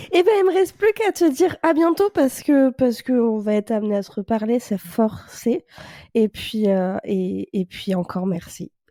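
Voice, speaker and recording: With a dark, mellow tone and a fairly high pitch, a woman speaks at a moderate pace, her pitch swinging very widely, in a dry, close recording with no echo. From France. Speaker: podcast host. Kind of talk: podcast interview.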